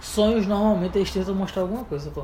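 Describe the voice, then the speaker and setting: A man speaks in a high pitch, and audible room echo surrounds his voice. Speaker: podcast co-host. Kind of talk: casual chat. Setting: home bedroom.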